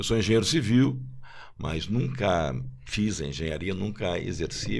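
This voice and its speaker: With a very deep, low pitch, vocal fry and lively intonation, a man speaks in a room with audible echo. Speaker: marketing executive, former football club marketing director. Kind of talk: podcast panel discussion.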